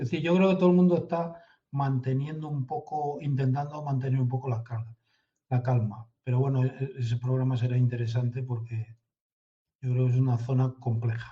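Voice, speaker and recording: A man talks at a fairly quick pace with a dark, mellow tone. His voice is somewhat breathy. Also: medium pitch for a man, ordinary pitch variation. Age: 60s. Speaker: intelligence consultant. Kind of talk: interview.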